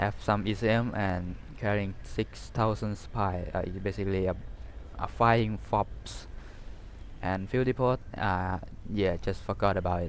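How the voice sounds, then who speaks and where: This man speaks at a fairly slow pace in a Thai accent. His voice is fairly low with vocal fry and ordinary pitch variation. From Thailand. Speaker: gaming YouTuber. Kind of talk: game unit review. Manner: halting, many fillers; casual.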